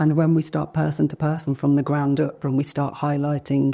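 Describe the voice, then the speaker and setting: A dark, mellow tone in a Birmingham accent, with monotone, flat intonation at a moderate pace. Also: woman. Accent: Birmingham (Brummie) English. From England, Birmingham (Handsworth). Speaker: inclusion speaker. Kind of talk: fireside chat on stage. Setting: stage with audience.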